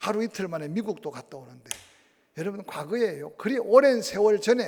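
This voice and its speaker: Delivery is fairly quick with lively intonation. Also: man. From Gyeongsang, South Korea (Tongyeong, Ulsan). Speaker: pastor. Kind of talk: sermon.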